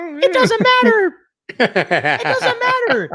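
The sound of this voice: Squeaky and put-on, this character voice leaps through very wide pitch swings.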